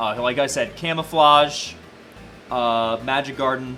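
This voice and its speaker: A man is the one talking. Behind him, music is playing. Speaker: esports caster. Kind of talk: live commentary. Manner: halting, repetitive.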